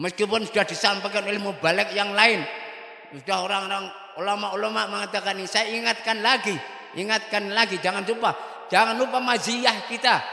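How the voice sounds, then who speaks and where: A man speaks in a raised, projected voice at a high pitch, keeping a fairly even intonation. He moves at a fairly quick pace, and noticeable background noise is present. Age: 70s. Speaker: Islamic cleric. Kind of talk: religious address to students and parents.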